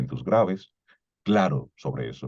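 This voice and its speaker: A man speaks with a very deep, low pitch and a dark, mellow tone. His voice shows vocal fry and very wide pitch swings. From Dominican Republic, Cibao (Salcedo). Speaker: voice and communication coach. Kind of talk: lecture.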